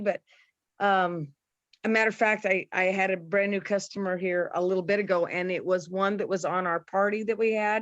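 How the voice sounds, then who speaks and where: A woman with a plain, everyday voice, medium pitch and fairly even intonation, at a moderate pace against a quiet background. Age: 60s. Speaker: skincare and supplement seller. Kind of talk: casual role play testimony.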